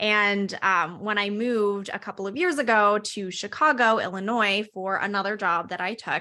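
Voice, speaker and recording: An American woman at medium pitch, with a bright, sharp tone, speaks at a moderate pace with ordinary pitch variation and hardly any pauses. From US South, Lynchburg, Virginia. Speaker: app founder, panelist. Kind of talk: webinar panel talk.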